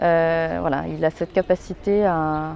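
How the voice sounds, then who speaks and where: The woman's voice has a dark, mellow tone and a fairly low pitch. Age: 30s. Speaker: local political candidate. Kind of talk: campaign statement. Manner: hesitant, many fillers.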